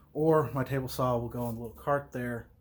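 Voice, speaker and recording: A man with an American accent speaks at a fairly quick pace. His medium-pitched voice is somewhat breathy. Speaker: vlogger. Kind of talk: casual vlog talk. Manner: mumbling.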